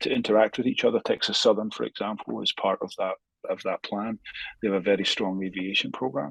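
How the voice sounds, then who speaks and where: A man with a Scottish accent at a very fast pace, the sound dry and close with no echo. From Scotland. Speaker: space industry academic. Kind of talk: podcast interview. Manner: halting with many fillers and repetitions.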